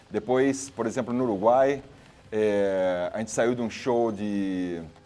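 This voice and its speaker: This man speaks at medium pitch with ordinary pitch variation. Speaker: singer. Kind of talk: casual interview. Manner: halting, many repetitions.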